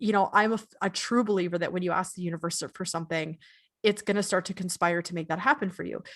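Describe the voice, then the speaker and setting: At a very fast pace, a woman speaks at a medium pitch. Her pitch varies in an ordinary way. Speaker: podcast co-host. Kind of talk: casual chat. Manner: halting, stumbling over words.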